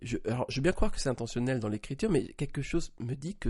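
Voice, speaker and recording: Somewhat breathy, a man talks at a fairly quick pace with a dark, mellow tone and ordinary pitch variation. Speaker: podcast co-host. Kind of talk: casual chat.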